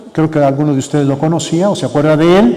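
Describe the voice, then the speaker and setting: There is noticeable background noise and audible room echo as a man speaks at a fairly high pitch. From Mexico, Michoacán (Sahuayo area). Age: 70s. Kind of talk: conference talk. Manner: halting.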